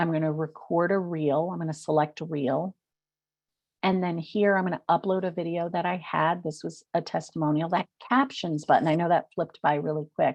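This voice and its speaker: In an American accent, a woman speaks at a moderate pace with a fairly low pitch and fairly even intonation. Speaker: social media marketing consultant. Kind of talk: webinar presentation. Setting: webinar.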